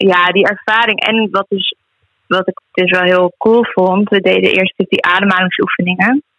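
Speaking at a fairly slow pace, this woman has a plain, everyday voice. Her intonation is fairly even. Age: 20s. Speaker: healer and animal communicator. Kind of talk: casual interview.

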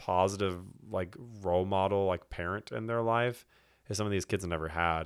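On a very clean recording with a silent background, a man has an unremarkable speaking voice with an American accent. It sits fairly low, moves at a moderate pace, and keeps a fairly even intonation. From Texas, Houston. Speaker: schoolteacher and church elder candidate. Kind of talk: casual chat.

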